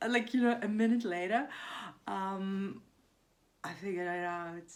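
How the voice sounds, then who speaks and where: At a moderate pace, a woman talks with a non-native accent. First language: not English. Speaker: vlogger. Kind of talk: casual monologue vlog. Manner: hesitant, many fillers.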